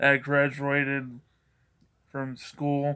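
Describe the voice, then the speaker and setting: A man's bright, sharp tone at a very slow pace, on a very clean recording with a silent background. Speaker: vlogger, school worker. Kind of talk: casual vlog monologue. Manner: rambling, repetitive halting speech.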